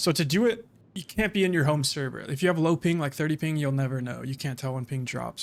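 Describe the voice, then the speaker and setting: On a very clean recording with a silent background, a man talks at a fairly quick pace in a relaxed tone with ordinary pitch variation. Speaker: gaming streamer. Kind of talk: gameplay commentary while live-streaming. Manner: calm, little emotion in voice; casual, relaxed.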